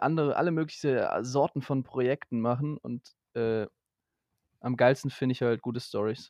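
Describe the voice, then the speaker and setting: In dry, close sound with no echo, a man with a plain, everyday voice talks at medium pitch and a fairly slow pace with fairly even intonation. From Germany. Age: 20s. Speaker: media technology student, trained voice actor. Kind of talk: casual chat.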